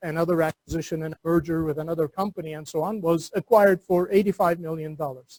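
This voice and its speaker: Recorded dry and close with no echo, a man with a Turkish accent talks at a high pitch and moderate pace with ordinary pitch variation. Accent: Turkish accent, noticeable. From Turkey. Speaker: entrepreneur and university lecturer. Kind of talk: seminar lecture. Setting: classroom seminar with webinar audience.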